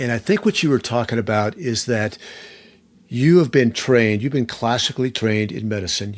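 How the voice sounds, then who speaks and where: A man with an ordinary speaking voice at a medium pitch, ordinary pitch variation, a moderate pace, and a very clean recording over a silent background. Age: 60s. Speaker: podcast host. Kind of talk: interview conversation.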